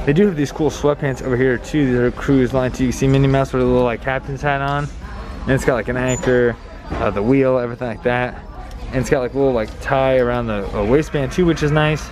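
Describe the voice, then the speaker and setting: A man talking at a very fast pace with fairly even intonation, over noticeable background noise. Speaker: shopping vlogger. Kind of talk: casual vlog chat. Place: shop. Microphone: phone near.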